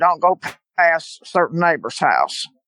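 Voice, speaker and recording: A woman with a Louisiana accent. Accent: Louisiana Southern. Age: 70s. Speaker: eyewitness guest. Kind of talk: testimony.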